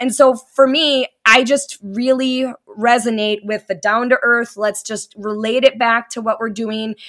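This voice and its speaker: A woman with a plain, everyday voice and a fairly high pitch talks at a fairly slow pace with fairly even intonation on a very clean recording with a silent background. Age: 40s. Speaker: spouse of recovering addict. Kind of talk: interview testimony.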